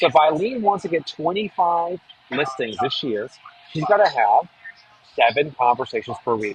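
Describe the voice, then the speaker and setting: A man with a New England accent speaks at a fairly high pitch, his voice making very wide pitch swings. Noticeable background noise runs under the recording. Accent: New England American. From New Hampshire, US. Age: 40s. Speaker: real estate marketing expert and author. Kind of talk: webinar presentation. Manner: fast.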